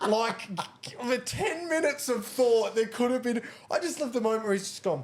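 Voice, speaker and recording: A woman's high-pitched, animated voice at a moderate pace, ordinary pitch variation, noticeable background noise behind it. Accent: Australian. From Australia, Gold Coast. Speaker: podcast co-host. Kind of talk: casual chat.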